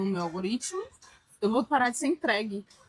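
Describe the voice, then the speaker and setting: A woman's unremarkable speaking voice, fairly high in pitch, with lively intonation at a moderate pace. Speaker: podcast co-host. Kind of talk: casual chat. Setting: restaurant during brunch.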